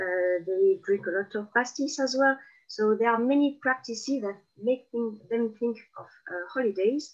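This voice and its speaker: With a strong southern French accent, a woman speaks at a moderate pace in a fairly high pitch with lively intonation. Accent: South of France accent, strong. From southern France (Marseille, Provence). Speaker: guest speaker on Provence. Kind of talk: interview conversation. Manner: hesitant, many fillers.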